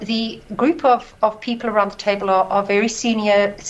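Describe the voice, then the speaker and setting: A woman's fairly high-pitched voice at a fairly slow pace, with noticeable background noise. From South Africa. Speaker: stock exchange CEO. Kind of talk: interview. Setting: remote link from South Africa. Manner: halting, many fillers.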